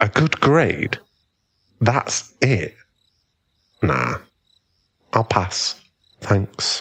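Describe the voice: Putting on a character voice, a man speaks very slowly at a fairly low pitch with big pitch swings, vocal fry, a fairly bright tone and a slightly husky edge.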